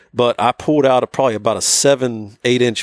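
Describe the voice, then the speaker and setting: With an American accent and an ordinary speaking voice, a man talks at a moderate pace in a medium pitch with fairly even intonation, in a very clean, dry, close recording with no echo and a silent background. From northern West Virginia. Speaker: hunter. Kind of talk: casual chat. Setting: outdoors.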